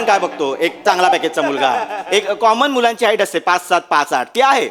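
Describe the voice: Loudness stays very even while the pitch swings very widely, with noticeable background noise behind the voice. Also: man.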